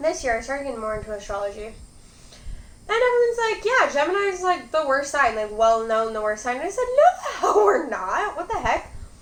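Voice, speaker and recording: With a Michigan accent, the speaker talks at a fairly quick pace with very wide pitch swings, amid noticeable background noise and audible room echo. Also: woman, high pitch for a woman. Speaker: mukbang youtuber. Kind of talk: casual chat while eating.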